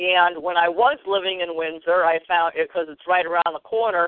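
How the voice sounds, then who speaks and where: Using a plain, everyday voice, a woman with an American accent speaks at medium pitch and a fairly quick pace with ordinary pitch variation. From Connecticut. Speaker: radio show host. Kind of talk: casual interview chat.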